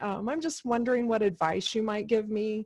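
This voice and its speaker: A woman with an unremarkable speaking voice talks at a fairly high pitch with fairly even intonation against a quiet background. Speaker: career coach. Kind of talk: webinar Q&A.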